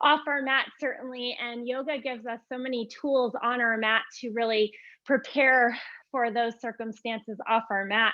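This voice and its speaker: Here a woman with a slight Vermont accent speaks at a moderate pace. Her high voice stays monotone and flat. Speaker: yoga teacher. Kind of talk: live yoga class instruction. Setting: live online class. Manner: casual, with frequent fillers.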